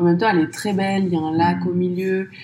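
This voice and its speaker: A woman in a plain, everyday voice speaks at a fairly low pitch with ordinary pitch variation. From France, Paris suburbs. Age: 30s. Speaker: podcast entrepreneur. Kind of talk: interview.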